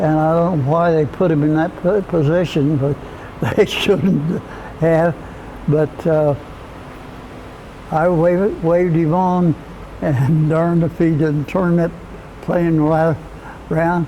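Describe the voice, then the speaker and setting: A man with an American accent talks very slowly at a fairly high pitch, with long, frequent pauses. His intonation is fairly even and his loudness very even, over noticeable background noise. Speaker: Cold War Air Force veteran, former jet mechanic. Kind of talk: oral history interview answer, recounting a memory. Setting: recorded interview.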